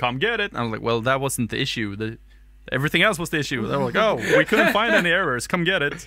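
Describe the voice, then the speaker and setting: A man with a fairly high pitch and a bright, sharp tone talks at a very fast pace, using vocal fry and very wide pitch swings. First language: not English. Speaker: podcast co-host. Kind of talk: casual chat.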